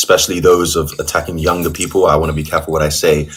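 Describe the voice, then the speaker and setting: A man's very deep, low-pitched voice. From England, London. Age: 20s. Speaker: caller. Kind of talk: heated debate. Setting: video call. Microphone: audio too quiet.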